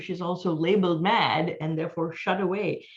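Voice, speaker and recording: A woman talks at a moderate pace. Her voice is fairly low in pitch. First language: not English (mother tongue another language). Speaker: author. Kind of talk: panel discussion. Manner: halting, many fillers.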